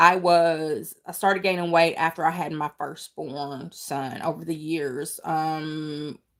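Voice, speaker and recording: A woman with a Kentucky accent and a very deep, low pitch speaks at a very slow pace with fairly even intonation and hardly any pauses. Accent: country twang, Kentucky. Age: 40s. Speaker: weight loss vlogger. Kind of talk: casual livestream chat. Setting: livestream. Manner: halting.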